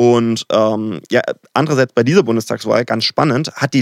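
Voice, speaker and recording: With a dry, close sound and no echo, a man at medium pitch speaks at a moderate pace with ordinary pitch variation. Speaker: political science doctoral researcher. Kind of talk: casual chat. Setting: studio.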